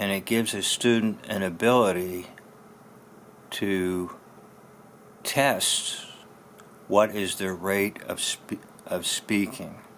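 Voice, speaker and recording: At a very slow pace, a man with a fairly low pitch speaks with long, frequent pauses. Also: fairly even intonation. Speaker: pastor and former speech teacher. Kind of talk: tutorial. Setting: solo to camera.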